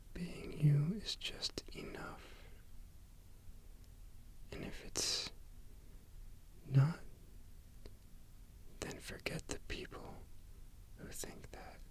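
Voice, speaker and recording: A man whispering in a soothing tone, very slow, with long, frequent pauses. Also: big swings in loudness. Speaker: ASMR creator. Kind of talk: ASMR sleep aid relaxation talk. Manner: whispered, soothing, slow.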